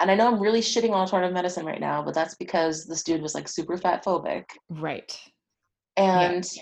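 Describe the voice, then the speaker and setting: With an American accent, a woman has an unremarkable speaking voice, a fairly low pitch and fairly even intonation. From New Jersey, US. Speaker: sex therapist. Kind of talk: interview conversation. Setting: office.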